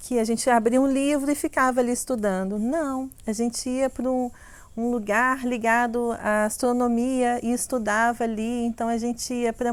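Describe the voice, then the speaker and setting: At a moderate pace, a woman with a high voice and a Minas Gerais accent speaks in a fairly even intonation. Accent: Minas Gerais (mineiro) Portuguese. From Brazil, Minas Gerais (Belo Horizonte). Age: 40s. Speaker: sensuality coach and content creator. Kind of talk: personal life story, casual monologue.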